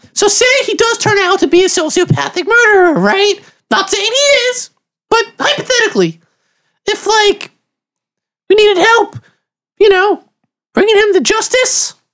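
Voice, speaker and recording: A woman does a put-on character voice that is squeaky and extremely high in pitch. She keeps a moderate pace and very even loudness, with long, frequent pauses. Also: ordinary pitch variation. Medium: actual play. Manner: halting, questioning.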